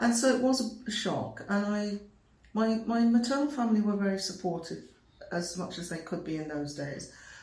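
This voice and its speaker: A woman talks at a moderate pace and medium pitch with lively intonation, and the room echo is audible. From England (Birmingham). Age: 70s. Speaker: retired nursing professor. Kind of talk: interview. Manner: hesitant, repeats words.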